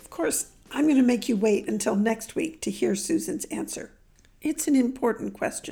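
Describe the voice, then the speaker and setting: With music in the background, a woman talks with lively intonation and big swings in loudness. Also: fairly high pitch for a woman, moderate pace. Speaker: podcast host and horse trainer author. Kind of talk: interview podcast.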